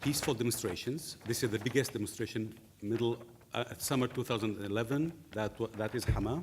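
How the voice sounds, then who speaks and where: With a non-native accent, a man speaks at a medium pitch with ordinary pitch variation. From Syria. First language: Arabic. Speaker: journalist. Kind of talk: lecture. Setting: seated, lecture hall with audience. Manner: halting.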